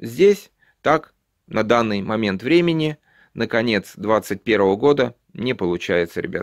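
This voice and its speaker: A man at a very slow pace with lively intonation, in a dry sound with no echo and a quiet background. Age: 50s. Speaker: YouTube vlogger. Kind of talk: tutorial. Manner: casual, with many filler sounds. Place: home room. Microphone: phone near.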